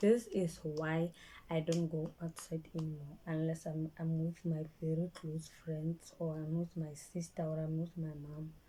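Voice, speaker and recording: In a Botswana accent, a woman speaks with a very deep, low pitch, somewhat breathy and monotone in her flat intonation. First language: Setswana. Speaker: vlogger. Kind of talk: personal storytime vlog. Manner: halting, repeats words; speech affected by stroke.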